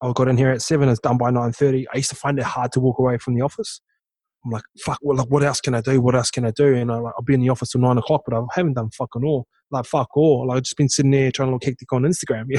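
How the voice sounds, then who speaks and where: Speaking very fast with a New Zealand accent, the voice has a dark, mellow tone and monotone, flat intonation, with a dry, close sound with no echo and a quiet background. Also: man, medium pitch for a man. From New Zealand, small town. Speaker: former rugby league player and entrepreneur. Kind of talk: casual interview chat.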